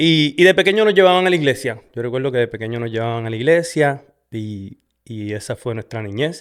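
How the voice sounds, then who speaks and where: A man in a Puerto Rican accent talks at a fairly quick pace with big swings in loudness. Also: medium pitch for a man, lively intonation. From Puerto Rico, west (Sabana Grande). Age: 40s. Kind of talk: testimony. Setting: in front of a camera. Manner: halting, many fillers.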